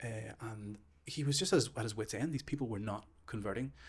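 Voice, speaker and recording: With a Northern Irish accent, a man talks at a very fast pace, his somewhat breathy voice set at medium pitch with ordinary variation. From Northern Ireland. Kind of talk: casual chat.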